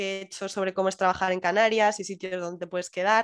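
A woman speaks at a medium pitch in monotone, flat intonation, in a very clean recording with a silent background. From Madrid, Spain. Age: 20s. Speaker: digital nomad remote worker. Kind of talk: interview.

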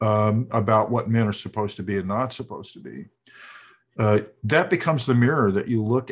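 A man with an American accent talks at a fairly quick pace in a fairly low pitch, using a plain, everyday voice. His pitch varies in an ordinary way, and the background is quiet. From US South. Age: 60s. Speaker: author. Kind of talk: interview.

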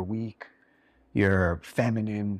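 A man with a fairly low pitch is heard in a very clean recording with a silent background. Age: 40s. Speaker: podcast host. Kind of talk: casual interview chat. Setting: in the guests' home.

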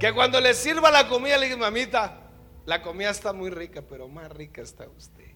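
With music in the background, a man in a raised, projected voice of extremely high pitch talks at a fairly quick pace, his pitch swinging very widely and his loudness shifting greatly. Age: 50s. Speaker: pastor. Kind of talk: sermon. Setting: church.

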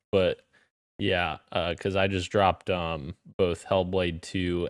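A man's very deep, low voice comes through dry and close, with no echo. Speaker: video game podcast founder and co-host. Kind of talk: casual chat. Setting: online voice call.

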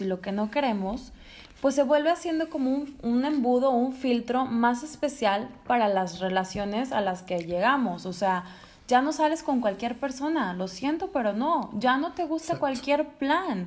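The intonation is lively. The pace is moderate. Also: woman. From Monterrey, Mexico. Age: 30s. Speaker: sales professional. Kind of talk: casual chat.

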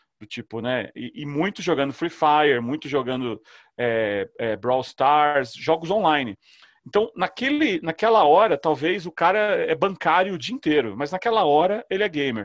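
At a moderate pace, a man with a fairly high pitch swings very widely in pitch and greatly in loudness, recorded with a dry, close sound and no echo. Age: 40s. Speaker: startup founder and CEO. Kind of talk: casual interview chat.

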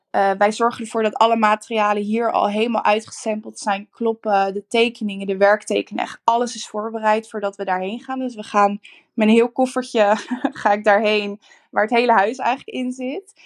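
A woman with a normal speaking voice, pitched fairly high, talks at a fairly quick pace with fairly even intonation in a dry, close sound with no echo. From Netherlands, Rotterdam. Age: 20s. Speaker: interior designer. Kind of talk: interview.

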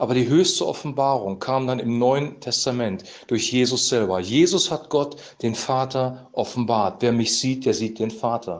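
At a moderate pace and with ordinary pitch variation, the voice carries audible room echo. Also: man, medium pitch for a man. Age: 50s. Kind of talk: devotional talk, sermon-like monologue.

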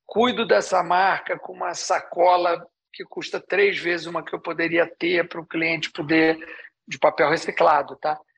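Delivered at a moderate pace, a man's high voice keeps a fairly even intonation while its loudness swings a lot. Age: 60s. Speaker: ice cream business founder. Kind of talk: interview.

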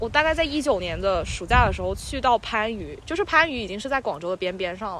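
The tone is animated and the pace very fast. Hardly any pauses break the speech. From Guangdong, China. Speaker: podcast host. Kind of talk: casual chat. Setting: outdoors on a playground climbing frame. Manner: animated, joking.

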